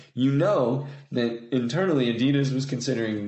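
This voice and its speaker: Audible room echo surrounds a man speaking at a medium pitch in an American accent. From Indiana, US Midwest. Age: 30s. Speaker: footwear designer. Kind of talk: casual chat.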